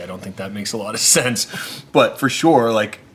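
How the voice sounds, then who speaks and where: An animated man's voice over noticeable background noise. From Canada, Nova Scotia (Maritimes). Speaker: social entrepreneur and restaurateur. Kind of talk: interview conversation.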